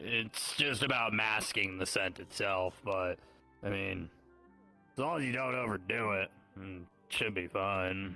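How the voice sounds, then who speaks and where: A man does a put-on character voice, raspy and fairly low, with faint music in the background. He goes at a fairly slow pace with long, frequent pauses. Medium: actual play. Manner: casual, rambling.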